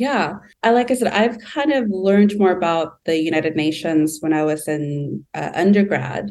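Speaking in a Californian accent, a woman uses lively intonation at a moderate pace. Her pitch sits fairly low. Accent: Californian American English. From Southern California. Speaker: UN intern in development programs. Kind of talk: interview conversation.

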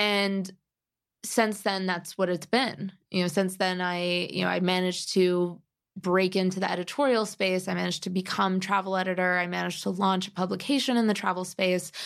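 A woman's medium-pitched voice keeps fairly even intonation and a moderate pace. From US Midwest (Cleveland, Chicago). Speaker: travel editor and writer. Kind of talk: casual interview.

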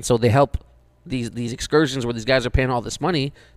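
A man with a plain, everyday voice and a medium pitch speaks at a fairly quick pace with fairly even intonation. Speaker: podcast co-host. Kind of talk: casual banter podcast. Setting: in studio with host.

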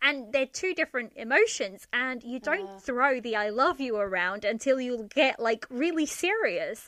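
A woman's high-pitched voice with a bright, sharp tone and lively intonation, at a moderate pace with hardly any pauses. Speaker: podcaster, drama reviewer. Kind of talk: casual chat. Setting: remote recording.

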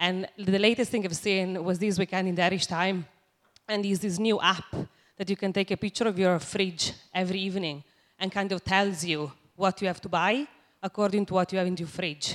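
Speaking at a fairly quick pace in an Italian accent, a woman holds a medium pitch with fairly even intonation. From Italy. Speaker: audience member. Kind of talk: audience question. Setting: stage with audience.

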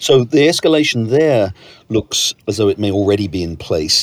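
A man talks at a fairly quick pace with a British accent. His intonation is lively. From Britain. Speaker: podcast host, newspaper editor. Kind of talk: interview.

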